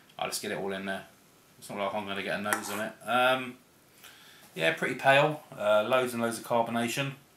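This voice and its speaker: A man's medium-pitched voice at a fairly quick pace, ordinary pitch variation, big swings in loudness, and noticeable background noise. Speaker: beer reviewer. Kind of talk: casual video review.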